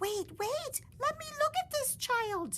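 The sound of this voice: Putting on a character voice, a woman speaks slowly with an extremely high pitch, a bright, sharp tone and lively intonation.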